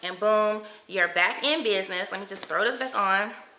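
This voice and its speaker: With an animated tone and medium pitch, a woman speaks amid noticeable background noise and audible room echo. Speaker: lifestyle vlogger. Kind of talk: product review vlog.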